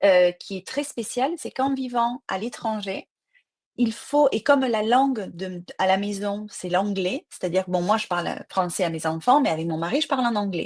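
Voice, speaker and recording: Speaking at a moderate pace, a woman with a medium pitch and lively intonation comes through in a dry, close sound with no echo. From southern France, Marseille. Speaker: crime novelist. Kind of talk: interview. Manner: hesitant with fillers.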